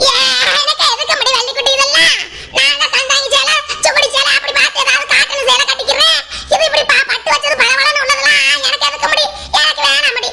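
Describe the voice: A woman puts on a cartoonish character voice, pitched extremely high and delivered at a fairly quick pace. Her loudness stays very even, with noticeable background noise behind her.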